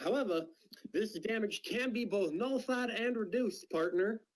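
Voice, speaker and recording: Drawling in a put-on character voice, a man speaks at a high pitch and a moderate pace, his loudness very even. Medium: game stream. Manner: folksy drawl, calls opponent friend and partner.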